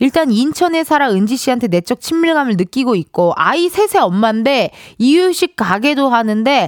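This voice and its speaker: With very wide pitch swings, a woman talks in a high voice with a dry, close sound and no echo. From South Korea, Incheon. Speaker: radio or live-stream host. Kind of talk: casual live show chat with listener call-ins.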